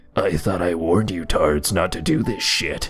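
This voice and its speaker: Over clear music in the background, a man uses a put-on character voice, very deep and low. He speaks at a moderate pace. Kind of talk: tough-guy. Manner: stern, warning.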